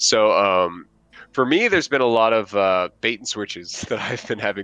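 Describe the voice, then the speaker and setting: The speaker has an American accent. Noticeable background noise runs through the recording. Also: man. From United States. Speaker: tabletop gaming podcast co-host. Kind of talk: casual chat. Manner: hesitant, many fillers.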